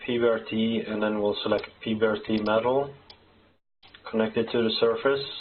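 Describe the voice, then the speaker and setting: Monotone, flat intonation at a fairly slow pace in a Norwegian accent, over light background noise. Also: man. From Norway. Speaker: software developer; software tutorial maker. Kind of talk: tutorial. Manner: halting. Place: home room.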